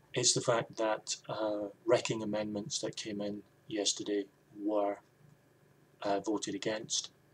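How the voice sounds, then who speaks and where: A man with a Scottish accent speaks at a fairly slow pace with long, frequent pauses. His pitch is fairly low and his intonation fairly even. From Scotland. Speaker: video blogger. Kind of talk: opinion vlog monologue.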